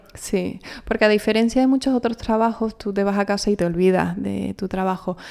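In a very clean recording with a silent background, a woman speaks at a fairly quick pace and medium pitch, with a dark, mellow tone and fairly even intonation. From Canary Islands, El Hierro. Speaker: actress. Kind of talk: interview.

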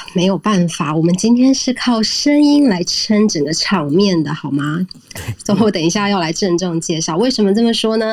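Over noticeable background noise, a woman speaks at a medium pitch and a moderate pace with lively intonation. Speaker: podcast co-host. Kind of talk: casual interview chat. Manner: putting on a refined, poised tone.

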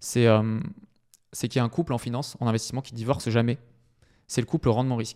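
Very fast but broken by long, frequent pauses, a man speaks at a medium pitch in a dark, mellow tone with fairly even intonation and big swings in loudness. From southwestern France, Bordeaux. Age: 20s. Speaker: property investor and wealth advisor. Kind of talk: casual interview.

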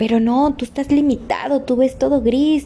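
Noticeable background noise accompanies a woman's high-pitched voice. She speaks at a moderate pace. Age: 30s. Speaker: motivational podcaster. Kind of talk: motivational monologue.

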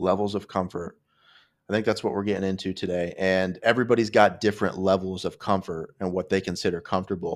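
Speaking very fast in a monotone, flat intonation, a man with a very deep, low pitch is heard in a very clean recording with a silent background. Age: 30s. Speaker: podcast host. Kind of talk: casual chat. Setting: home studio.

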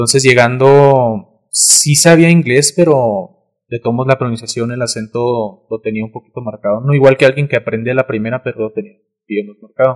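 A man with a normal speaking voice at medium pitch, ordinary pitch variation, a moderate pace, and a dry, close sound with no echo. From Mexico, Cuauhtémoc. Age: young. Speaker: content creator. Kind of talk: casual chat.

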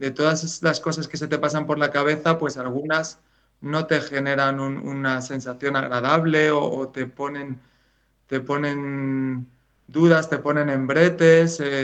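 Speaking very slowly with a Spanish accent, a man uses a fairly high pitch and a monotone, flat intonation. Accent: Peninsular Spanish. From Spain. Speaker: writer. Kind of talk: interview. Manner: hesitant, repeats words.

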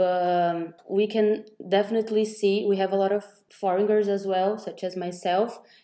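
A woman speaks in a Portuguese accent at a medium pitch. Her tone is dark and mellow, and her intonation is monotone and flat. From Brazil. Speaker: podcast host, entrepreneur. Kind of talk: casual interview. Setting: remote recording with two guests.

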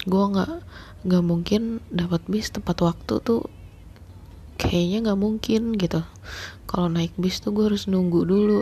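A woman speaks quietly. She is whispering. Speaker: podcast host. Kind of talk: personal storytelling monologue. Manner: hushed, whispering; halting with many fillers.

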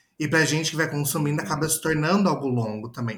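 The voice is somewhat breathy, with a strong interior São Paulo accent and ordinary pitch variation. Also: man. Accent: caipira rolled R, strong. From interior of São Paulo state, Brazil. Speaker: advertising professional. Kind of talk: casual chat.

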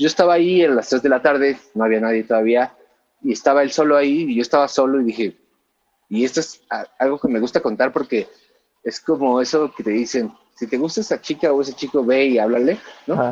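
With a Mexican accent, a man talks at a fairly quick pace with a medium pitch and ordinary pitch variation. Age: 30s. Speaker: musician turned music distribution executive. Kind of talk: podcast interview.

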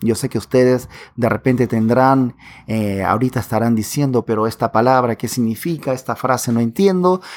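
On a very clean recording with a silent background, a man with a Peruvian Amazon accent speaks at a medium pitch with ordinary pitch variation. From Peruvian Amazon, Pucallpa. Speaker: podcast host. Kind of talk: language-learning podcast.

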